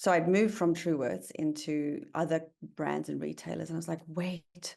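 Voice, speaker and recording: With a South African accent, a woman speaks at a moderate pace in a fairly low voice with a dark, mellow tone. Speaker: tech company founder and CEO. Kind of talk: podcast interview.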